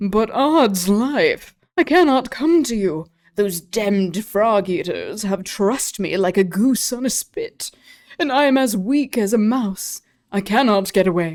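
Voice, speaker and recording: Putting on a character voice, a woman drawls at a fairly slow pace with lively intonation and a fairly high pitch. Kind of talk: affected upper-class English.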